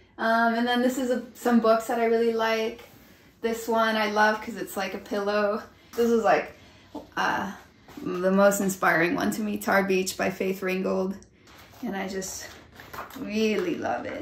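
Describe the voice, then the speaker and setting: Amid audible room echo, a woman with an American accent speaks at a fairly slow pace and fairly high pitch, with ordinary pitch variation and long, frequent pauses. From Chicago, Pilsen; Chicago. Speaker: illustrator. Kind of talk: panel discussion; casual studio tour chat. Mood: warm, a bit shy. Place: home room. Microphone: phone near.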